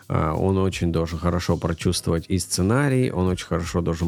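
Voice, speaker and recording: A man's very deep, low voice moves at a moderate pace while music plays in the background. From Moldova and northern Russia (Noyabrsk). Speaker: animator. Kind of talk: casual chat.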